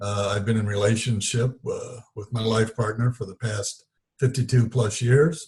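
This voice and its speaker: The voice is somewhat breathy, moving at a moderate pace with fairly even intonation. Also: man, medium pitch for a man. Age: 70s. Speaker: spiritual teacher. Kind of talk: interview storytelling. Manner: halting, with many fillers.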